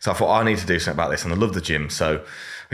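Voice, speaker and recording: A man speaks with a very deep, low pitch. His intonation is fairly even. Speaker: online fitness coach. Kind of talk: podcast interview. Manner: loud; casual, swears freely.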